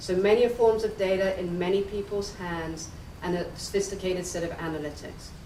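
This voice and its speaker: A woman with an English accent speaks with ordinary pitch variation amid audible room echo and noticeable background noise. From England. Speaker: analytics executive, keynote speaker. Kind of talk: conference keynote.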